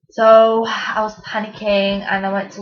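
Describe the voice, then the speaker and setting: A woman with a strong Mancunian accent talks at a moderate pace in a somewhat breathy voice with monotone, flat intonation. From Manchester, England. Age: 20s. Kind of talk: casual talk to camera.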